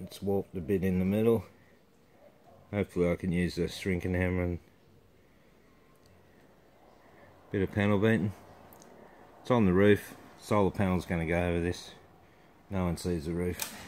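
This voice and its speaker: A man with a very deep, low pitch speaks in a flat monotone at a moderate pace, taking long, frequent pauses. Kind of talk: casual vlog chat. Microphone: phone near.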